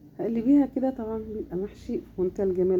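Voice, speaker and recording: With noticeable background noise behind her, a woman with an Egyptian accent talks at a very fast pace. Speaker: home cook / cooking channel host. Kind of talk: cooking tutorial. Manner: casual, warm, chatty.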